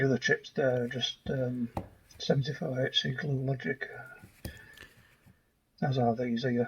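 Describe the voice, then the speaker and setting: A man speaks at a fairly slow pace with a somewhat breathy voice. His intonation stays fairly even, broken by long, frequent pauses. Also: medium pitch for a man. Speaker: electronics hobbyist. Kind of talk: casual narration over teardown footage. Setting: home workshop, processed audio.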